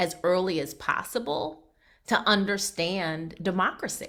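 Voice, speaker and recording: In an American accent, a woman speaks at a fairly slow pace. Her tone is bright, sharp and animated. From Massachusetts (Brockton). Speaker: political candidate. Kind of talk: campaign Q&A at a ward meeting.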